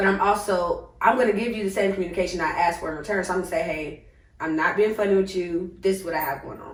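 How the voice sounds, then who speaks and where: Over noticeable background noise, a woman at medium pitch speaks at a very fast pace, her loudness swinging widely while her intonation stays fairly even. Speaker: podcast host. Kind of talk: casual chat. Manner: calm, not loud; hesitant, many fillers.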